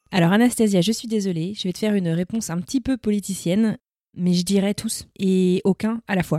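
The woman's medium-pitched voice has a dark, mellow tone and ordinary pitch variation. She talks at a fairly quick pace, the sound dry and close with no echo. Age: 30s. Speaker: podcaster. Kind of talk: casual chat.

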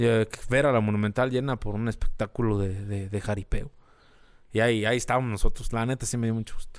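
A man with a rural Mexican accent talks at a very fast pace. His intonation is monotone and flat. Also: medium pitch for a man, very clean recording, silent background. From rural Mexico. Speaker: social media page creator, former radio host. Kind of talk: casual chat.

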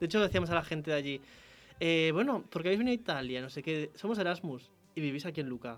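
A man talks at a very fast pace with lively intonation and a fairly high pitch. Music plays in the background. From León, Spain. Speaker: university radio host. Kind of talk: casual chat. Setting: radio studio.

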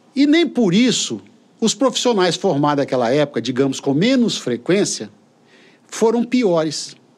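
Keeping his loudness very even, a man with a high pitch speaks at a fairly slow pace while his pitch swings very widely. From Brazil, Espírito Santo (Colatina), raised in São Vicente. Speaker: university rector. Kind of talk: interview. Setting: studio.

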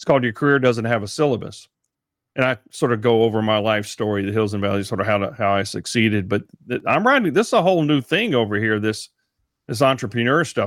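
Speaking very fast with a Texan accent, a man holds a medium pitch with ordinary variation on a very clean recording with a silent background. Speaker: podcaster and speaker. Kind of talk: casual interview.

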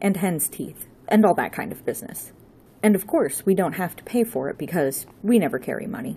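This is someone reading aloud in a natural voice.

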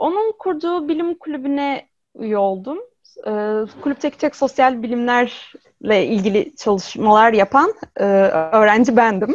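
In a high pitch with very wide pitch swings, a woman speaks at a fairly slow pace, the sound dry and close with no echo. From Izmir, Turkey. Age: 20s. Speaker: robot psychologist. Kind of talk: interview.

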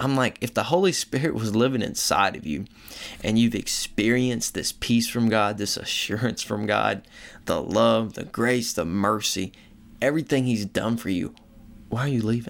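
A man with an American accent speaks at a medium pitch and moderate pace in an unremarkable speaking voice. The recording is very clean, with a silent background. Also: ordinary pitch variation. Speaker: podcast host. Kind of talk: solo podcast monologue. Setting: recording abroad. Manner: casual.

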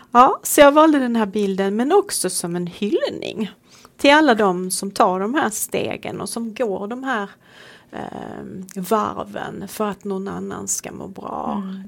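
A woman at a fairly slow pace, with big swings in loudness, over noticeable background noise. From Sweden. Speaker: priest. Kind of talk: casual chat.

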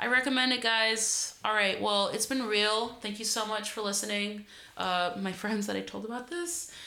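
In an American accent, a woman talks at a moderate pace with ordinary pitch variation, her voice carrying audible room echo. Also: fairly high pitch for a woman. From Greater Boston, US Northeast. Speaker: podcast host and barber. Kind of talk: casual chat. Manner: casual, filler-heavy.

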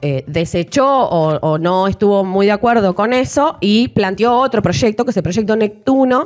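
A woman speaks in an unremarkable speaking voice at a medium pitch. Her pace is fairly slow. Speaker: podcast co-host. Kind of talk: casual chat.

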